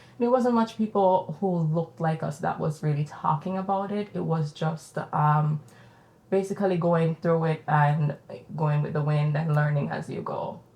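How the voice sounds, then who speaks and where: Moderate pace from a woman with a very deep, low pitch and a Jamaican accent, ordinary pitch variation, and noticeable background noise. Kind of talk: casual conversational podcast interview.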